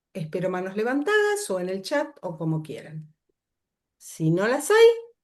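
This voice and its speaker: In a Rioplatense accent, a woman at medium pitch talks at a fairly slow pace, with very wide pitch swings and big swings in loudness. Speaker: workshop facilitator. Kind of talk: lecture.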